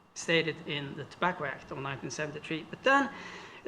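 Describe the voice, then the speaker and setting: Audible room echo surrounds the speech. The man's pace is fairly quick. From Norway. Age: 60s. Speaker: researcher. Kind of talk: lecture. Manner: halting.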